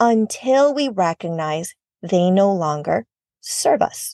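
Over a quiet background, a woman speaks in a warm tone with lively intonation, the sound dry and close with no echo. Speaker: podcast host, therapist and life coach. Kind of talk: casual motivational solo podcast talk; guided relaxation meditation, slow second-person body-scan instructions. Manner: warm, chatty, laughs often.

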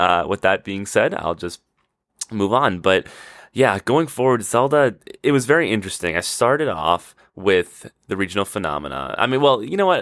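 A man speaks at a moderate pace in an excited tone, his medium pitch swinging very widely, with a dry, close sound, no echo, and a very clean recording over a silent background. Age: 20s. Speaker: podcast host. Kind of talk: casual solo monologue. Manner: excited, with frequent laughter; halting, with repeated words and fillers.

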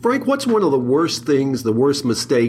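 A man talks at a fairly quick pace. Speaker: podcast host. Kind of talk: interview podcast. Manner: enthusiastic.

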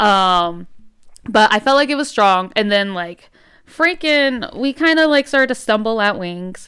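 A woman's fairly high, bright, sharp voice, animated in tone and fairly slow in pace, on a very clean recording with a silent background. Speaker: podcast host. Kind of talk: casual chat.

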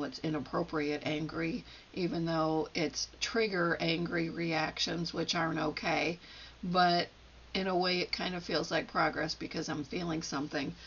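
With a normal speaking voice, a woman talks at a moderate pace, her fairly low pitch held in fairly even intonation. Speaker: solo podcaster playing therapist and patient. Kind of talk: solo self-help monologue, reflective. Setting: home recording at a microphone.

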